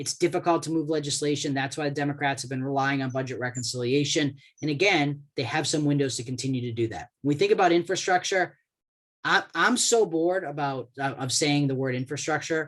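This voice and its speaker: This man has an American accent and a fairly high pitch. He talks at a fairly quick pace with ordinary pitch variation. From Boston, US. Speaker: government relations expert, lawyer. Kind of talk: webinar presentation. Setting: online webinar call. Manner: fast.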